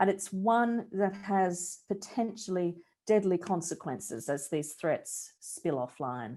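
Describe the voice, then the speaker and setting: With an Australian accent and a dark, mellow tone, a woman speaks very slowly at a medium pitch with lively intonation against a quiet background. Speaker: research director, journalism researcher. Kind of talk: presentation of research findings. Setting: online talk with screen sharing.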